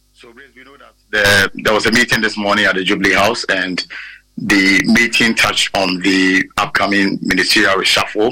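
A man's fairly low voice in a Ghanaian accent, monotone and flat, at a moderate pace with music in the background. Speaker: political correspondent. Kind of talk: live news report. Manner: halting, repetitive.

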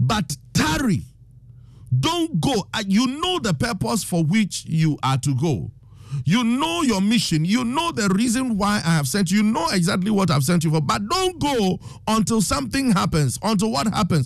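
A man with a Ghanaian accent, high-pitched for a man, animated in tone, with very wide pitch swings, very even loudness, a moderate pace, and music in the background. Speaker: preacher and radio host. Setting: radio studio broadcast. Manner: animated, emphatic, urgent, exhorting the listeners.

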